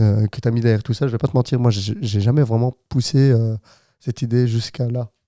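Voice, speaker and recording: With a dark, mellow tone, a man talks at a moderate pace and medium pitch with fairly even intonation, the recording very clean with a silent background and a dry, close sound with no echo. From Flanders, Belgium. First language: Dutch (Flemish) (speaking French). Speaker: podcast co-host. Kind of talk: casual chat. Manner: halting.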